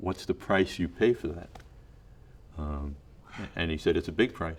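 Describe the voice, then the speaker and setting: A man speaks in a very deep, low, somewhat breathy voice. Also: ordinary pitch variation, fairly slow pace. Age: 60s. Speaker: talent manager and film producer. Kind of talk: interview. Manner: halting.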